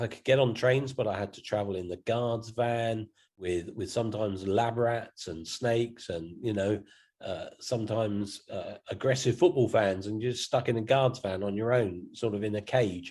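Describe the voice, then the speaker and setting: With a southern English accent, a man talks at a moderate pace with big swings in loudness against a quiet background. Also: medium pitch for a man, ordinary pitch variation. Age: 60s. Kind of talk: interview. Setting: video call.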